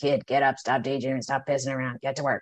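A put-on character voice, low-to-middle in pitch, monotone and flat, at a very fast pace. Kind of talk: gruff, blunt. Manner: cranky, scolding.

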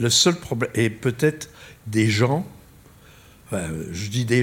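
With lively intonation, a man speaks at a very slow pace. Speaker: astrophysicist. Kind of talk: lecture.

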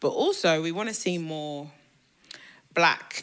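Bright, sharp tone from a woman at a fairly slow pace. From England, raised in Ghanaian family. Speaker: PR agency co-founder. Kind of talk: casual chat.

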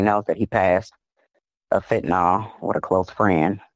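Against a quiet background, a woman with an American accent speaks at a moderate pace with fairly even intonation. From Chicago. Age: 30s. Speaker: sister of an injured inmate. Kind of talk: interview testimony. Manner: emotional.

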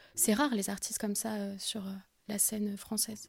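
Through a very clean recording with a silent background, a woman speaks at a fairly slow pace with a fairly high pitch and a dark, mellow tone. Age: 20s. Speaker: singer-songwriter. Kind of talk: interview.

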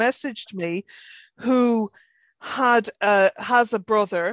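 The sound is dry and close, with no echo and a quiet background. It is an unremarkable speaking voice with ordinary pitch variation. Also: woman. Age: 50s. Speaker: podcast co-host. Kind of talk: casual chat. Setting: video call.

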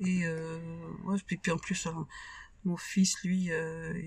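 Somewhat breathy, a woman's voice proceeds very slowly. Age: 60s. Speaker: widowed mother. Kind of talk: testimony. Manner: halting.

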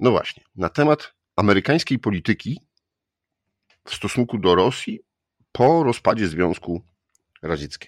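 On a very clean recording with a silent background and a dry, close sound with no echo, a man with a fairly low pitch speaks at a moderate pace with very wide pitch swings and long, frequent pauses. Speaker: podcast host. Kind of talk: interview.

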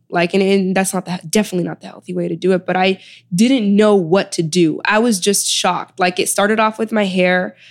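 A woman speaks at a fairly quick pace with a Chicago accent. Her pitch is medium, and the recording is very clean with a silent background. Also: fairly even intonation. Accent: Chicago American English. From Chicago, South Side. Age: 20s. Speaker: author and wellness advocate. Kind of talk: interview.

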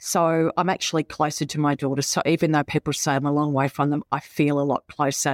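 A woman's very deep, low voice in an Australian accent, monotone and flat, at a fairly quick pace with hardly any pauses and very even loudness, on a very clean recording with a silent background and a dry, close sound with no echo. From Victoria, Australia (Melbourne suburbs, Warrnambool). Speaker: business executive. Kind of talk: interview.

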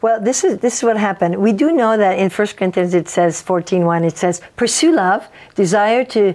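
A woman talks with a French accent at a moderate pace. Her pitch varies in an ordinary way. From French Canada. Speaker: pastor. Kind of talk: casual interview chat.

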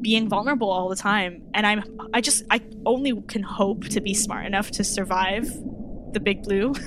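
Over noticeable background noise, a woman with a fairly high voice speaks at a moderate pace. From Toronto, Canada. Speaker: circus performer and drag artist. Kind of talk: casual interview chat.

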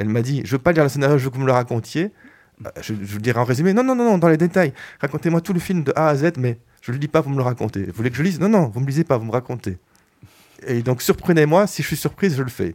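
A man with fairly high pitch, lively intonation and a very fast pace. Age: 50s. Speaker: film director. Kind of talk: radio interview. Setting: radio studio. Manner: hesitant, many fillers.

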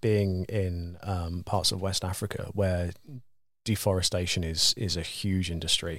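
A man speaks with a very deep, low pitch. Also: very clean recording, silent background. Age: 30s. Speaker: guitar builder. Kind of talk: casual chat. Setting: studio. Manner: halting.

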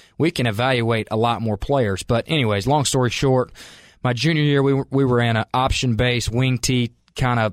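With fairly even intonation, a man talks in a dry, close sound that has no echo. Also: very clean recording, silent background. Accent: Southern US. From US South, Calhoun, Georgia. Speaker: college football coach. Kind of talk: interview.

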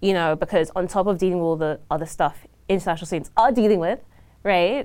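Speaking very fast with a British accent, a woman uses ordinary pitch variation on a very clean recording with a silent background. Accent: non-Ontarian (British). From South London, England. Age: young. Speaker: young union member and international student. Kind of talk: casual podcast interview. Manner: animated, frequent laughter.

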